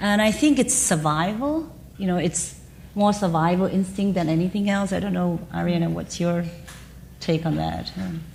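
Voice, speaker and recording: A woman's fairly low voice in a Chinese accent, with audible room echo and noticeable background noise. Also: ordinary pitch variation, moderate pace. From China. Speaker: business executive. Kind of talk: panel conversation.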